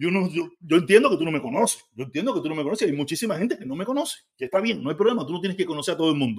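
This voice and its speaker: An animated tone with very wide pitch swings and a Cuban accent. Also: man. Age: 50s. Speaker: livestreamer. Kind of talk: live stream commentary.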